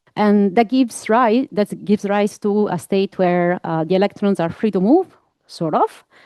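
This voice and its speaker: In an Italian accent, a woman speaks at a medium pitch with a dark, mellow tone and ordinary pitch variation against a quiet background. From Italy. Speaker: physics researcher. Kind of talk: scientific talk. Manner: hesitant, many fillers.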